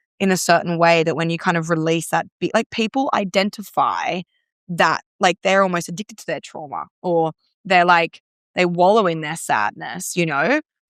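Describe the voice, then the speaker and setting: An animated tone comes at a moderate pace with ordinary pitch variation. The sound is dry and close with no echo, on a very clean recording with a silent background. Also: woman. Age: 20s. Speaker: breathwork practitioner. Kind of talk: podcast conversation. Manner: animated, many fillers and restarts.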